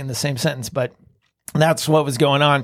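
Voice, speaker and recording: A man with a plain, everyday voice talks at a fairly high pitch with ordinary pitch variation. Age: 50s. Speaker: real estate investor. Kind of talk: interview.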